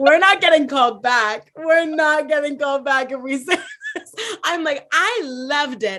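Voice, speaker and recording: A woman's raised, projected voice, high in pitch and bright, sharp in tone, with lively intonation at a moderate pace. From Puerto Rican household, US. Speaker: filmmaker and student. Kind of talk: casual chat. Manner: loud and talkative.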